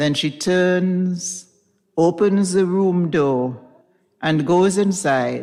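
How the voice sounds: Quiet surrounds the speech. A natural reading voice carries ordinary pitch variation.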